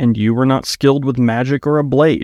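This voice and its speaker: Here is a man with an ordinary speaking voice at a medium pitch and a moderate pace. The recording is very clean, with a silent background and a dry, close sound with no echo. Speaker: author reading own book. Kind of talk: audiobook narration; casual intro and outro. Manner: measured, storyteller pacing.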